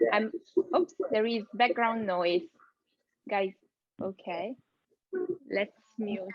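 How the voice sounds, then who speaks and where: A woman with an Italian accent speaks very slowly in a fairly high voice with ordinary pitch variation. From Italy. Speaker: AI content strategist, keynote speaker. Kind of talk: keynote presentation. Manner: hesitant, many fillers.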